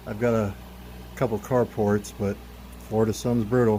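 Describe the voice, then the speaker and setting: A man speaks at a medium pitch and a moderate pace. His intonation is fairly even. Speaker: car enthusiast youtuber. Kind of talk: tutorial. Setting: outdoors. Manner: casual; loud, talking over fan.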